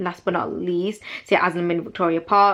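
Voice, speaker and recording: Monotone, flat intonation with a bright, sharp tone. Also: woman. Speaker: university student vlogger. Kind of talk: casual informational vlog. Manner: fast.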